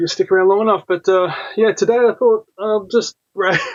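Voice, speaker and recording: A man speaks at a moderate pace with an Australian accent. His intonation is lively. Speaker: comics YouTuber. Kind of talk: casual chat. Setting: live stream. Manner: rambling with many fillers.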